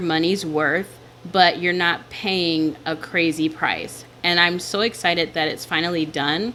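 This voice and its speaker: This woman's pitch is fairly low. She speaks at a fairly slow pace with fairly even intonation. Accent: American. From US South. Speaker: digital planner shop owner and YouTuber. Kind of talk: casual vlog talk while planning. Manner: clear enunciation.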